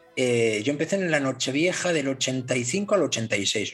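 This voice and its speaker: A man speaks at a very slow pace in a fairly high pitch. His pitch varies in an ordinary way, with noticeable background noise behind him. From northern Spain. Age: 50s. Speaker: model maker and DJ. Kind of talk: casual chat.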